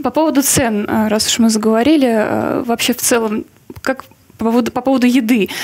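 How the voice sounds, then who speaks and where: Using a normal speaking voice, a woman talks at a moderate pace and a fairly high pitch. Her intonation is fairly even. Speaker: podcast host. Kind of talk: casual interview chat. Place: studio. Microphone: headset.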